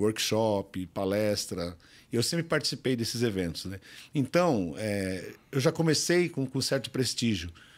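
Very wide pitch swings from a man speaking at a fairly slow pace. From Brazil. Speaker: bodybuilding champion; podcast guest. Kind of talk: casual interview. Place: studio. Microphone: studio mic.

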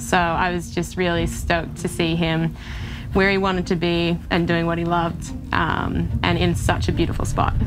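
Clear music plays behind a woman who talks at a moderate pace. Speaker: ultra runner. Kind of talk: interview answer. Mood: warm, proud, reflective. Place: forest. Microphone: lapel.

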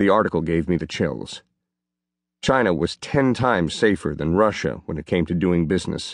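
Over a quiet background, a man speaks at a moderate pace. His very deep, low voice has lively intonation. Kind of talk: audiobook reading of a first-person memoir. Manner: steady, even narration with measured pacing.

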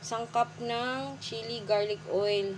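A woman's pitch swings very widely. Light background noise sits behind her. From Philippines. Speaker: home cook vlogger. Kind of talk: cooking tutorial. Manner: polite, uses po throughout. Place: kitchen. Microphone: phone near.

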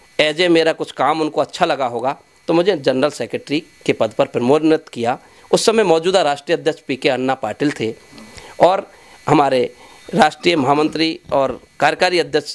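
Talking at a fairly slow pace, a man uses a fairly high pitch with ordinary pitch variation. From Rajasthan, Bharatpur district; Rajasthan. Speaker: community organisation leader. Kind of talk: interview. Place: home room. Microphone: handheld.

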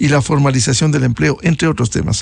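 Somewhat breathy and dry with no echo, a man's voice moves at a fairly quick pace. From Ecuador. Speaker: news show host. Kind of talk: interview. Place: studio. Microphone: studio mic.

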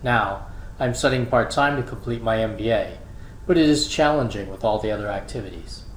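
A man at a moderate pace, ordinary pitch variation, audible room echo. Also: medium pitch for a man. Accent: American. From US Northeast, Philadelphia. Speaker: college administrator. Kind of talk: scripted narration. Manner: formal.

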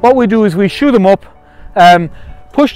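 Faint music plays in the background as a man with a high pitch talks at a fairly quick pace, pitch varying in an ordinary way, the sound dry with no echo. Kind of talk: tutorial. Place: farm machine.

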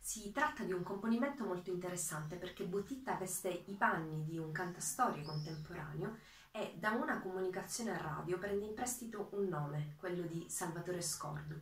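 Audible room echo surrounds a woman speaking at a fairly quick pace with lively intonation. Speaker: PhD student. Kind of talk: introduction to a poem reading. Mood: calm, earnest. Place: home room.

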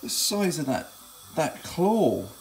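Over light background noise, a man talks at a very slow pace. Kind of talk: casual cooking vlog chat. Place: kitchen. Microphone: phone near.

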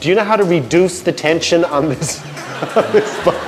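Music plays in the background as a man speaks with a Canadian accent at a high pitch. His pace is fairly quick, with ordinary pitch variation. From Canada. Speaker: TV host. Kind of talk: comedic interview questions. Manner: joking.

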